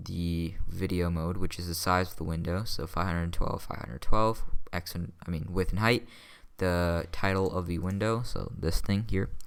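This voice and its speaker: With a very deep, low pitch, a man speaks using fairly even intonation. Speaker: coding tutorial youtuber. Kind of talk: tutorial. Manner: fast; casual with many fillers.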